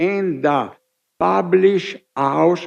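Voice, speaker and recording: In an Italian accent, a man talks at a very slow pace with ordinary pitch variation. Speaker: scholar of heraldry and genealogy. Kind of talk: conference speech. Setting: summit hall with audience. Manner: formal.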